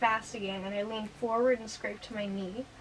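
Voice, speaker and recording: Over noticeable background noise, a woman with a fairly high pitch talks at a fairly quick pace with fairly even intonation. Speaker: youtuber. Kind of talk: testimony. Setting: in her room. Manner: halting.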